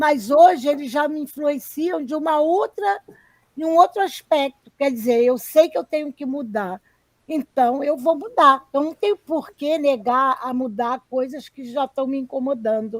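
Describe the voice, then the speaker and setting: Speaking fairly slowly in a high pitch, a woman uses lively intonation and big swings in loudness, recorded with a dry, close sound and no echo. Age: 60s. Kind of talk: live stream conversation.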